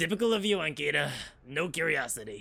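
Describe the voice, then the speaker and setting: In a raspy, put-on character voice, a man speaks very fast at a fairly high pitch with very wide pitch swings. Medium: game stream. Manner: shaky, halting, stammering.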